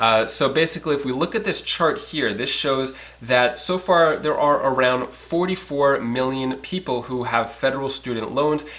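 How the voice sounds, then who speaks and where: A man speaks at a fairly high pitch. He hardly pauses at all. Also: ordinary pitch variation. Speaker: finance news youtuber. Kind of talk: casual news commentary. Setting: home. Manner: fast.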